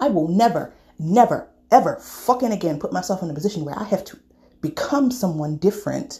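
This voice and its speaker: An animated woman at medium pitch, with lively intonation and a fairly quick pace. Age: 30s. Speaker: podcast host. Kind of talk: personal monologue.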